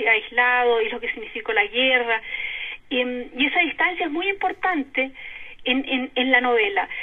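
With lively intonation, a woman speaks at a high pitch and a moderate pace. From Chile, Concepción. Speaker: novelist and historian. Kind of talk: interview. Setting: phone call.

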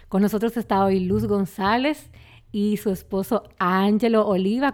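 A fairly slow, medium-pitched woman's voice in a Dominican accent, with very even loudness and ordinary pitch variation, on a very clean recording with a silent background. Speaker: podcast host. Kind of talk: scripted intro.

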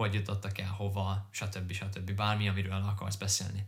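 His voice somewhat breathy, a man speaks at a fairly low pitch. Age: 20s. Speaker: podcast co-host, corporate finance employee. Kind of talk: casual chat.

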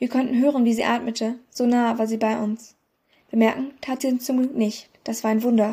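Here is an unforced reading voice with fairly even intonation. The background is quiet.

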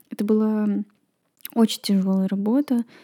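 In a very clean recording with a silent background, a woman with a medium pitch and a dark, mellow tone speaks at a moderate pace with fairly even intonation, the sound dry and close with no echo. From Estonia, Kohtla-Järve. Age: 20s. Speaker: podcaster. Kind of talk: personal monologue.

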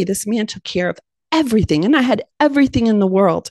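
A woman with an American accent talks in an ordinary speaking voice with lively intonation, the sound dry and close with no echo. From Ohio, US Midwest. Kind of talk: testimony.

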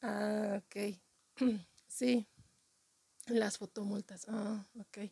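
The delivery is very slow, with long, frequent pauses, a flat monotone, a somewhat breathy, dark, mellow tone and a dry, close sound with no echo. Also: woman, medium pitch for a woman. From Mexico City. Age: 40s. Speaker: comedian. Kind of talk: comedic monologue.

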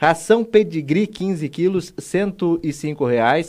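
The man's pitch varies in an ordinary way. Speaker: radio host. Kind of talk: radio talk show hosting. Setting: radio studio.

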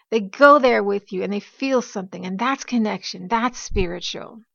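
Speaking at a fairly quick pace, a woman has a plain, everyday voice, fairly high in pitch, with ordinary pitch variation.

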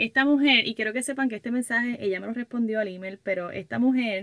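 The delivery has an animated tone. Pitch variation is ordinary, and the pace is moderate. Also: woman. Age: 20s. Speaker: podcaster and workshop leader for women entrepreneurs. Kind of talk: casual monologue.

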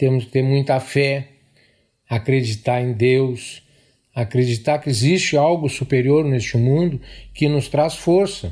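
A man talks at a fairly slow pace, leaving long, frequent pauses. His somewhat breathy voice has a dark, mellow tone and ordinary pitch variation. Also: medium pitch for a man. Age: 60s. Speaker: police officer. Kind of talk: testimony.

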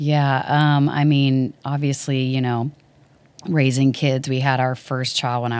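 On a very clean recording with a silent background, a woman speaks with an American accent. Her very deep, low pitch stays monotone and flat at a fairly slow pace. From Dallas, Texas. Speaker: worship ministry leader. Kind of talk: interview conversation.

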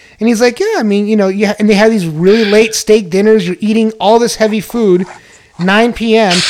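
A man with a high pitch speaks in an American accent at a moderate pace. His tone is animated, and there is noticeable background noise. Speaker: podcast host. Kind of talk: casual chat.

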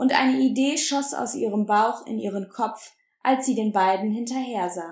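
In an unforced reading voice with ordinary pitch variation, the speaker reads against a quiet background.

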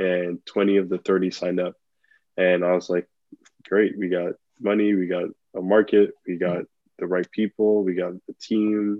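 In an American accent, the voice moves at a fairly slow pace with monotone, flat intonation and long, frequent pauses. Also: man, very deep, low pitch for a man. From Nigeria, then Belgium and US. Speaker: entrepreneur. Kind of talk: interview.

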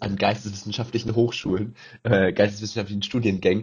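A man's fairly low, somewhat breathy voice rushes at a very fast pace with fairly even intonation. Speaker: podcast co-host, university student. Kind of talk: casual chat.

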